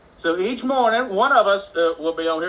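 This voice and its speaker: Here a man talks with a Mississippi accent. His pitch swings very widely at a moderate pace. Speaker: economic development consultant and show host. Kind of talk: live morning show, casual talk. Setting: live video stream. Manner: conversational, with frequent fillers.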